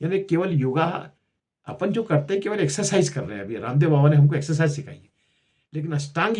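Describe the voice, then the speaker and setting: Somewhat breathy and dark, mellow in tone, the man's fairly high voice moves with lively intonation. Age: 70s. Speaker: health and culture YouTuber. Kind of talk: casual talk to camera. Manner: halting, with repetitions.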